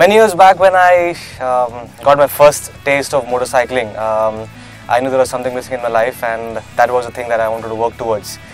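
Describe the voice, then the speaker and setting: Music plays in the background as a man at medium pitch speaks with ordinary pitch variation. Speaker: motorcycle traveller. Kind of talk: interview answer. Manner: fast.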